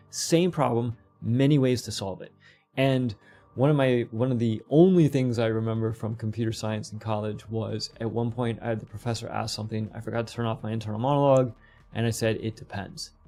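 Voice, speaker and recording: Faint music sits in the background as a dark, mellow voice moves at a fairly quick pace with ordinary pitch variation. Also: man. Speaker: game development tutorial streamer; podcast guest. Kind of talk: live tutorial stream; interview answer. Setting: live stream. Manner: fast; casual, with fillers and restarts. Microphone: earbuds.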